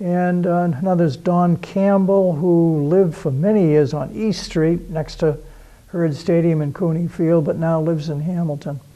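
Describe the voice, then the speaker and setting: The voice has a dark, mellow tone and fairly even intonation, moving at a moderate pace in an American accent. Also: man, high pitch for a man. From Massachusetts, Beverly (North Shore). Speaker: local history show host. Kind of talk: interview. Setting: historical society building.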